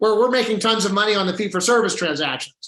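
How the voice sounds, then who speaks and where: With a bright, sharp tone and a high pitch, a man speaks in a raised, projected voice with ordinary pitch variation. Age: 60s. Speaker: healthcare policy advocate. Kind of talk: panel discussion.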